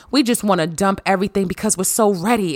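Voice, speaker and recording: This woman's pitch variation is ordinary. Her voice sits at a medium pitch. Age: 30s. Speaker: podcast host and life coach. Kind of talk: casual monologue with advice. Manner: animated.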